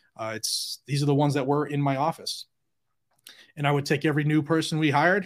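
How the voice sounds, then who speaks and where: In a very clean recording with a silent background, a man speaks very fast at a fairly high pitch. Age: 40s. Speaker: gun rights YouTuber, former police officer. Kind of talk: casual chat.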